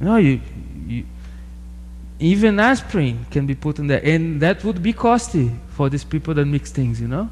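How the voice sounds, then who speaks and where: Speaking at a moderate pace, a man with a Portuguese accent leaves long, frequent pauses. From Brazil. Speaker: sociology PhD researcher. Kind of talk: interview.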